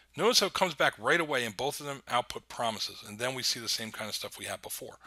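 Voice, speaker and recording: Bright and sharp in tone, a man speaks very fast at medium pitch. The recording is very clean, with a silent background. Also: lively intonation. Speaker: university lecturer. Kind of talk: recorded lecture. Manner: many fillers (um, uh).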